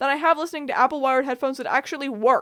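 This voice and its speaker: The delivery is animated, with ordinary pitch variation. The recording is very clean, with a silent background. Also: woman. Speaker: commentary YouTuber. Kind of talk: casual commentary monologue. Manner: fast.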